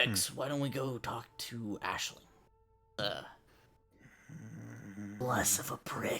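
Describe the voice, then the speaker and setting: Putting on a character voice, a man at a medium pitch speaks at a fairly slow pace with fairly even intonation and long, frequent pauses. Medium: actual play.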